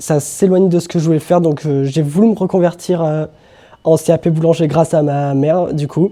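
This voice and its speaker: A man talks at a moderate pace with fairly even intonation. His voice is fairly high-pitched, with a dark, mellow tone. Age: 20s. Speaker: baking apprentice. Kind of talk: interview self-introduction.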